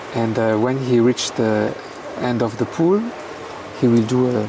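With music in the background, a man speaks at a fairly slow pace and medium pitch, keeping his intonation fairly even. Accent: French. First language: French. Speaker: freediving coach, monofin expert. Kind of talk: live sports commentary. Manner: halting.

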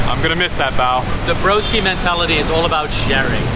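Loud background noise runs throughout. The speech moves at a fairly quick pace. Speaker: travel vlogger. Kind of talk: casual vlog chat. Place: street.

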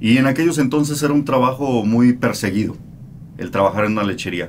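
A man's voice with ordinary pitch variation over light background noise. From Mexico. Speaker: radio host. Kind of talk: interview answer. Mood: calm, reflective. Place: studio. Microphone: studio mic.

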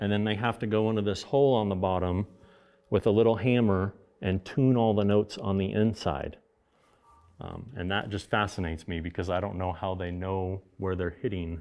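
A man with a normal speaking voice talks at a moderate pace. His pitch is fairly low and his intonation fairly even. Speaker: guest. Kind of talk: interview answer. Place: studio.

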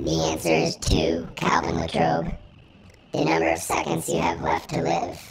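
A raspy, put-on character voice at a very deep, low pitch. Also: moderate pace. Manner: menacing; flat, clipped machine commands.

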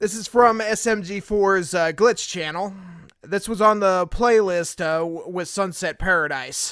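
The sound is dry, without any echo. Nothing stirs in the quiet background. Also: man, high pitch for a man, ordinary pitch variation, fairly slow pace. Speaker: video reaction streamer. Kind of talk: casual reaction commentary. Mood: amused, joking. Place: home room. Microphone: studio mic.

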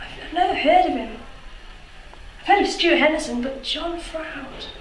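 A woman's high voice with ordinary pitch variation and strong room echo. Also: moderate pace.

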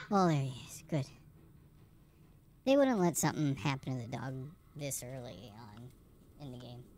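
At a moderate pace with long, frequent pauses, a cartoonish character voice speaks in a low-to-middle pitch. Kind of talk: let's play gaming commentary. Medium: puppet. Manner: jokey, playful.

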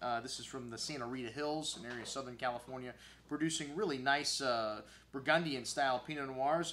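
In a bright, sharp tone, a man moves at a fairly quick pace. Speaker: wine shop host. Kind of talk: wine tasting commentary. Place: studio.

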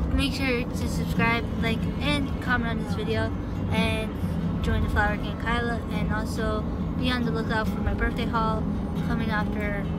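The speech moves at a moderate pace with a dry sound that has no echo. Music plays in the background. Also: woman. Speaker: vlogger. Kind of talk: casual vlog chat. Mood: cheerful, celebratory. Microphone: phone near.

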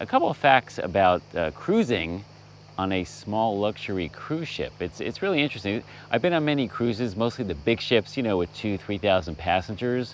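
A man at a moderate pace with lively intonation, a dry sound with no echo and light background noise. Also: fairly low pitch for a man. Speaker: travel vlogger host. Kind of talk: casual vlog chat. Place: boat. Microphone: phone near.

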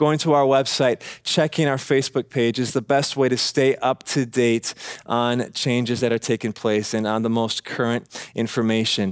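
Against a quiet background, a man speaks at a moderate pace with fairly even intonation and very even loudness. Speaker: pastor. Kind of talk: church announcements. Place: church.

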